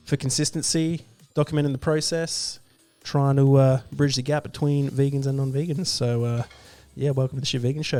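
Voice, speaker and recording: Over music in the background, a man speaks at a moderate pace in a fairly high voice with fairly even intonation. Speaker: vegan livestream host. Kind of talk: casual livestream talk. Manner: hesitant, many fillers.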